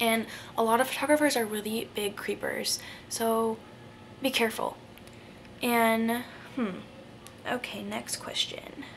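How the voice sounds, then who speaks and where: With long, frequent pauses and noticeable background noise, a woman talks at a fairly slow pace in a fairly high voice with fairly even intonation. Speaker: vlogger. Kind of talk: casual Q&A vlog.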